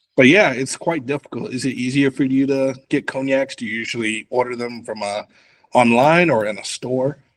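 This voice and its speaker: A man with an American accent speaks in an unremarkable speaking voice at a moderate pace, medium pitch and ordinary pitch variation. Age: 20s. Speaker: cognac content creator. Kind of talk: casual chat.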